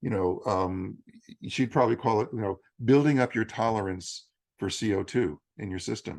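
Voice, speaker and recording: Against a quiet background, a man with an unremarkable speaking voice talks at a fairly low pitch and moderate pace, with ordinary pitch variation. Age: 60s. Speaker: yoga teacher and bodywork practitioner. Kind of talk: interview conversation.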